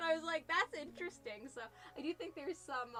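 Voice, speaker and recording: Over noticeable background noise, a woman with a high voice talks at a very fast pace in a raised, projected voice with lively intonation. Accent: American. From New Jersey.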